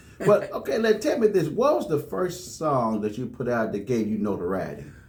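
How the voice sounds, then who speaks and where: At a fairly quick pace, a fairly high-pitched man speaks with very wide pitch swings, and audible room echo fills the recording. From US South, Jackson, Tennessee. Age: 50s. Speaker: radio host. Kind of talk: radio interview.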